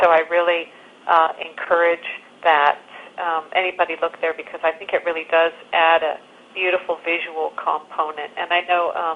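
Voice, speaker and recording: Over noticeable background noise, a woman speaks in a fairly low, flat monotone. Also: moderate pace. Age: 60s. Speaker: documentary filmmaker. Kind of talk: interview.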